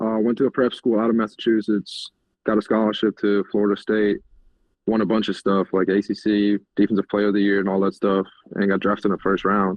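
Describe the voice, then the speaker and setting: With very even loudness and a flat monotone, a man with a fairly low pitch talks at a fairly quick pace. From Germany. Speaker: college football tight end. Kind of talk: podcast interview answer.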